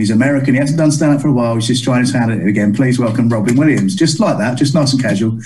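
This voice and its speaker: Ordinary pitch variation in speech at a very fast pace, noticeable background noise behind it. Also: man. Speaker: comedian and compere. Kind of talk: stand-up comedy storytelling. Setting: interview.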